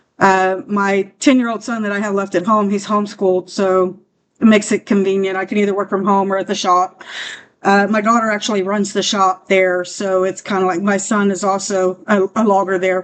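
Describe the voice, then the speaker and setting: A woman speaks at a fairly quick pace in a medium pitch, her intonation monotone and flat. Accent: Texan. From South Texas (Corpus Christi area). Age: 40s. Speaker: office manager in oil field company. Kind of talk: self-introduction video. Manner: halting, many fillers.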